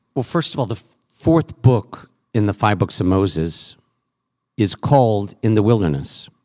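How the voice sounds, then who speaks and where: A man with a plain, everyday voice and an American accent, fairly low in pitch, at a moderate pace with lively intonation and big swings in loudness, in a dry, close sound with no echo. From Massachusetts. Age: 50s. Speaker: rabbi. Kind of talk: panel discussion. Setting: stage with audience.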